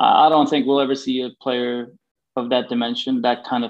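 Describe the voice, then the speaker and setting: At a moderate pace, a man speaks with a Swedish accent. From Sweden, Gothenburg. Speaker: former pro hockey player and agent. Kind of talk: interview.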